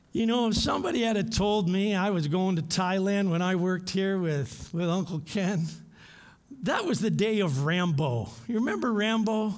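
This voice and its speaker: A man speaks in a high voice with ordinary pitch variation and very even loudness. His pace is moderate, and audible room echo surrounds him. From Canada, London Ontario. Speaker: missionary and former professor. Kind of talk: sermon; prayer.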